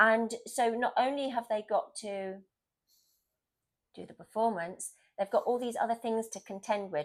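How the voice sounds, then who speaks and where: With a southern English accent, a woman talks at a moderate pace in a fairly high voice, showing ordinary pitch variation, big swings in loudness and long, frequent pauses, on a very clean recording with a silent background. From southern England, Southampton area. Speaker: stage actress. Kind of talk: casual chat. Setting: at home on the couch.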